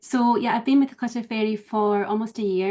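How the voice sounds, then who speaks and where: Speaking with a Scottish accent, a woman has a dark, mellow tone and fairly even intonation. The background is quiet. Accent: lilting Scottish, slightly mellowed. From Scottish Highlands. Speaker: professional organiser. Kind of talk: casual interview chat. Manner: calm, gentle.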